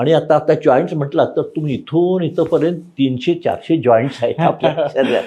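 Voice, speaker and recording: Fairly high for a man, his voice carries a dark, mellow tone. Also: ordinary pitch variation. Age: 80s+. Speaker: doctor. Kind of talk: interview answer.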